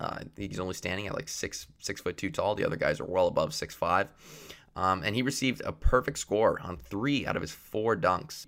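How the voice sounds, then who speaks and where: A plain, everyday voice with a Canadian accent, lively intonation and a moderate pace, on a very clean recording with a silent background. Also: man, fairly low pitch for a man. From Canada. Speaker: student podcast host. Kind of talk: solo sports commentary podcast.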